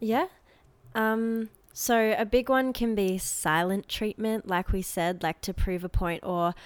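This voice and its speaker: Speaking at a fairly slow pace with an Australian accent and ordinary pitch variation, a woman is heard in a dry, close sound with no echo on a very clean recording with a silent background. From Australia (Adelaide). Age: young. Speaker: university student. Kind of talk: casual chat.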